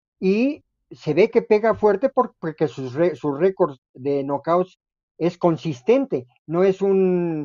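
At a very slow pace, a man speaks in a high pitch. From Mexico. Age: 70s. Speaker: retired boxing referee and judge. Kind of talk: casual chat.

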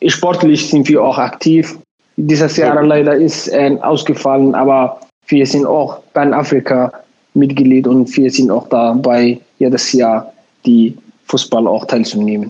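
With a Somali accent, a man talks at a fairly slow pace in a fairly high pitch, keeping very even loudness and fairly even intonation. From Somalia. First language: Somali (speaking German). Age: 20s. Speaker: community association chairman and lab technician. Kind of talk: interview. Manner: halting.

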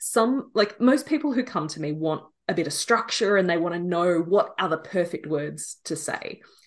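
A woman at a moderate pace with lively intonation against a quiet background. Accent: Australian. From Australia. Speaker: business and messaging coach. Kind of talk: casual interview conversation. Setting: remote call from Australia.

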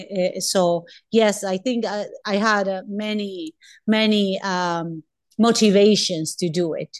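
A woman with a Spanish accent speaks at a very slow pace, with a medium pitch and fairly even intonation. The background is quiet. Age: 40s. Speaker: doctor. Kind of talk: interview. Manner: halting.

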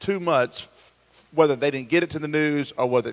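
At a fairly quick pace, a man with a fairly high pitch and fairly even intonation speaks in an ordinary speaking voice. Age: 40s. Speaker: pastor. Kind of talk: casual chat. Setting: church campus, live stream.

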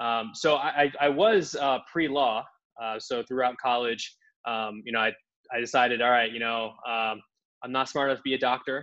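Speaking with an American accent, a man uses a bright, sharp tone at a medium pitch and moderate pace, his intonation fairly even. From US, Indian-heritage household. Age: 30s. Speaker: sales leader. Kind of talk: interview. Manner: halting, many fillers and repeats.

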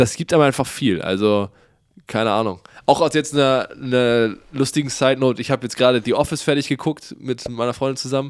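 On a very clean recording with a silent background, a man with a plain, everyday voice speaks fairly quickly at a medium pitch with ordinary pitch variation. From Bremen, northern Germany. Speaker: podcast co-host. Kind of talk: casual chat.

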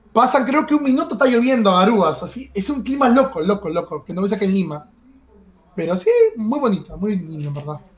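Noticeable background noise sits behind a man with a high pitch. He talks at a fairly quick pace with very wide pitch swings. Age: 20s. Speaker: streamer and esports analyst. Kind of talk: casual interview. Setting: live stream. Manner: hesitant, with many repeated words.

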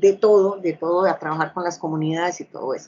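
A woman speaks with fairly even intonation. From Colombia, Bucaramanga, Santander. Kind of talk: interview testimony. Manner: halting with frequent fillers.

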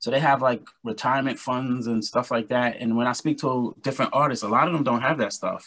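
A New York accent with fairly even intonation. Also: man. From Brooklyn, New York. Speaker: R&B singer and musician. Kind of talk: interview.

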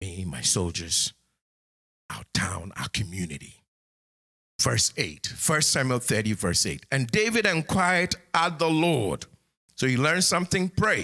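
A man of medium pitch talks at a fairly slow pace, with vocal fry and a bright, sharp tone. His pitch swings very widely, and he takes long, frequent pauses. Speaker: pastor. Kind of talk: sermon. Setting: church sanctuary with congregation, streamed online. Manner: animated.

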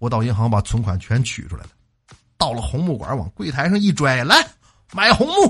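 A man talks at a moderate pace with long, frequent pauses. His pitch swings very widely, and vocal fry comes through. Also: medium pitch for a man. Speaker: radio host. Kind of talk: comedic monologue. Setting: studio.

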